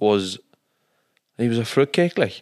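A man with a Donegal accent at a moderate pace, on a very clean recording with a silent background. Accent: Donegal Irish. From Donegal, Ireland. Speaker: guest, nephew of host. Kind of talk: casual chat.

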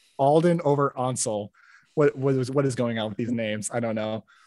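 The sound is dry and close with no echo as a man talks at a moderate pace. He has an ordinary speaking voice, a medium pitch and ordinary pitch variation. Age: 20s. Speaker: podcast host guest. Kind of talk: casual chat.

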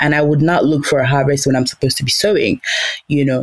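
Noticeable background noise is present. The talking goes at a very fast pace. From Nigeria, Igbo, Imo State. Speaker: podcast guest. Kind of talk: casual interview chat.

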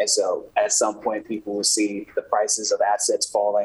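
A man talks while noticeable noise carries on behind him. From New Orleans, Louisiana. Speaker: economics writer. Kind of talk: remote interview.

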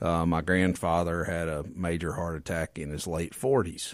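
In a very clean recording with a silent background, a man with a Mississippi accent speaks at a moderate pace in a very deep, low voice. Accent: US Southern (Mississippi). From Mississippi Delta. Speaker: medical doctor. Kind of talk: interview. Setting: radio studio.

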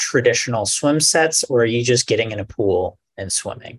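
Here a man speaks at a medium pitch. His pace is moderate and his voice somewhat breathy. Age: 30s. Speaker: podcast host. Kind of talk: casual chat.

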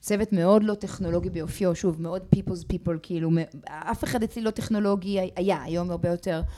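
This woman has a medium pitch. Her pitch varies in an ordinary way. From grew up in many countries; Israeli-Australian. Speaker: company founder. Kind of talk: interview. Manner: halting, many fillers.

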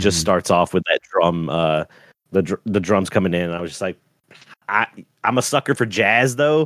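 Lively intonation marks this man's plain, everyday voice at a fairly quick pace. The sound is dry and close, with no echo. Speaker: podcast co-host. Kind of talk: casual chat. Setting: remote call recording.

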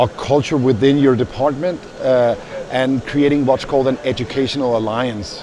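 With a Danish accent, a man speaks at a medium pitch and a moderate pace. His intonation is fairly even, and noticeable background noise can be heard. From Denmark. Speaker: paramedic educator. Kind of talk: interview. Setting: conference venue.

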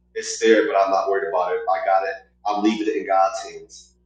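Music is heard behind the speaker. He is a man with an American accent. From Oklahoma. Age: 30s. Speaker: clothing brand owner. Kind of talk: casual interview.

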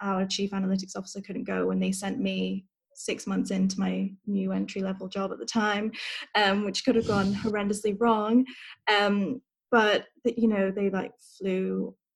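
A woman with a somewhat breathy voice talks at a moderate pace in a monotone, flat intonation. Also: medium pitch for a woman. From Hong Kong and Southeast Asia. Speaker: digital marketing and AI specialist. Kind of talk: interview.

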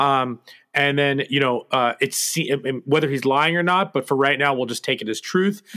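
Speaking at a moderate pace with an American accent, a man uses an unremarkable speaking voice, fairly high in pitch, with ordinary pitch variation. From United States. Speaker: podcast co-host. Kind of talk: casual chat.

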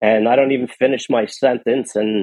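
With a New York accent, a man talks at a fairly slow pace in a medium pitch with ordinary pitch variation. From New York City (Queens). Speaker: podcaster and recovery coach. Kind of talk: interview testimony. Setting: remote call.

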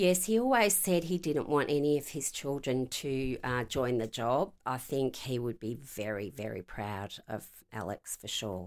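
An Australian accent with very wide pitch swings, a fairly slow pace and hardly any pauses. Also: woman, very deep, low pitch for a woman. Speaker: retired police inspector. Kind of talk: interview.

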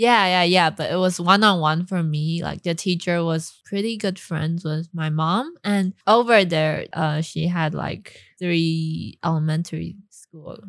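A woman talks at a fairly slow pace with fairly low pitch and fairly even intonation. The recording is very clean, with a silent background. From Taiwan, raised partly in California. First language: Mandarin. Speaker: actress. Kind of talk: casual chat. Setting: studio. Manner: giggly, laughs often.

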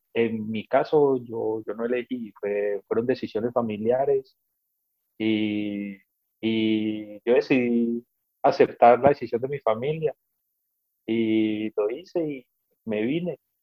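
At a very slow pace with long, frequent pauses, a man speaks in a medium pitch with ordinary pitch variation. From Colombia, Cali. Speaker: Colombian immigrant in London. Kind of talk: casual interview chat.

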